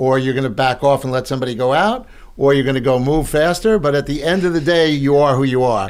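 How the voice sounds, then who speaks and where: With a Long Island accent, a man speaks at a very fast pace in a fairly high pitch, with ordinary pitch variation. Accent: Long Island New York. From Long Island, New York (South Shore). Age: 70s. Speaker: real estate broker and speaker. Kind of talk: podcast interview.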